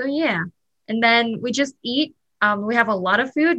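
A woman with a Vietnamese accent talks in a bright, sharp tone, her fairly high pitch carried by lively intonation. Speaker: student. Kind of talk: casual chat.

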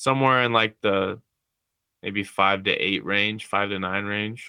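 With a plain, everyday voice, a man speaks at a fairly slow pace in a fairly low pitch and fairly even intonation. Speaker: student. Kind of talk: casual chat.

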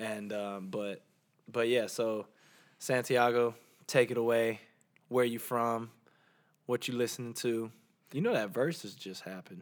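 A speaker with a Southern US accent talks at a fairly slow pace with fairly even intonation. Long, frequent pauses break up the speech on a very clean recording with a silent background. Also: man, medium pitch for a man. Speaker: podcast co-host. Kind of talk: casual chat.

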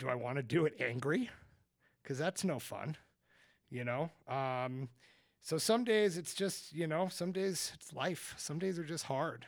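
A man with an unremarkable speaking voice talks at a fairly slow pace, his pitch fairly high and his intonation lively. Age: 40s. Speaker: business owner. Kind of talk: casual chat.

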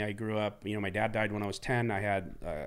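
A man talks at a fast pace. His pitch sits fairly low.

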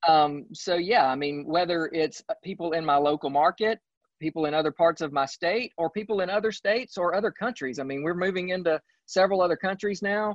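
A man's high-pitched voice with a Southern US accent at a fairly quick pace. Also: ordinary pitch variation. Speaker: real estate agent. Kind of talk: casual interview. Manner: halting, many fillers.

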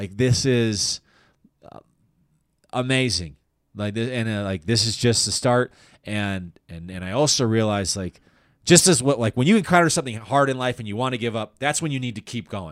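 A man with a General American accent at a medium pitch, lively intonation, big swings in loudness, a moderate pace with long, frequent pauses, and a very clean recording over a silent background. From Colorado, Denver area. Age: 30s. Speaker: comedian. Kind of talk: casual interview chat.

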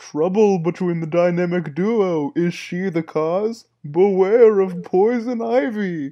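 A put-on character voice at middle pitch, theatrical and dramatic, fairly slow and with hardly any pauses. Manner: theatrical, dramatic.

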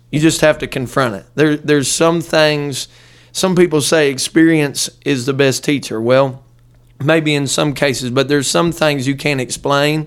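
In a very clean recording with a silent background, a man talks at a moderate pace with fairly even intonation. He has an ordinary speaking voice, pitched fairly high. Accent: American. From Ohio, near Dayton. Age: 20s. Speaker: pastor. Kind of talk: casual interview; sermon-style teaching.

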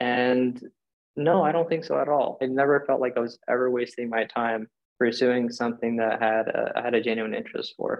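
An unremarkable speaking voice from a man, medium in pitch, at a fairly quick pace and with fairly even intonation. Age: 20s. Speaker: startup founder. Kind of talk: interview.

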